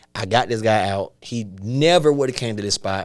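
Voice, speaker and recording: With a strong Atlanta accent, a man speaks in an animated tone at a fairly low pitch with ordinary pitch variation, on a very clean recording with a silent background. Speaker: stand-up comedian. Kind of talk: casual chat. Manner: fast.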